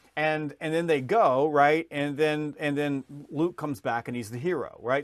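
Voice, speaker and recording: A man speaks with a Southern US accent at a fairly high pitch. The recording is very clean, with a silent background. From US South, Georgia. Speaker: sales author and trainer. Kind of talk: podcast interview. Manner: fast.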